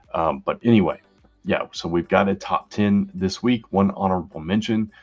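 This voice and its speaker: With music in the background, a man speaks at a moderate pace. His fairly low voice keeps a fairly even intonation. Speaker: comic book reviewer. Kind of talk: casual review show.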